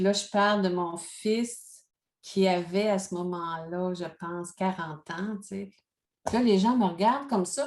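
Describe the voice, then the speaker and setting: A woman with a normal speaking voice, medium pitch and ordinary pitch variation, at a fairly slow pace over a quiet background. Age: 60s. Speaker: life coach and speaker. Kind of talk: interview.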